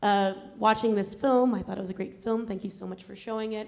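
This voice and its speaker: In a medium pitch, a woman speaks with monotone, flat intonation. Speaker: environmental justice activist. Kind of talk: Q&A talk after film screening. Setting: university screening with audience. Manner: fast; hesitant, many fillers.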